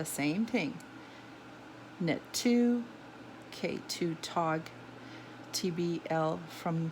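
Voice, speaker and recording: Her voice sits fairly low in pitch. The woman has a non-native accent. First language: not English. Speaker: knitting tutor. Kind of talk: tutorial. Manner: halting.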